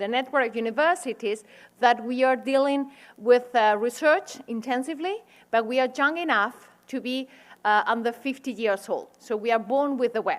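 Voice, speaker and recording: A woman's high voice with a Spanish accent, moderate pace and ordinary pitch variation, on a very clean recording with a silent background. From Spain. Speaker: university administrator and researcher. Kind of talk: lecture. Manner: halting.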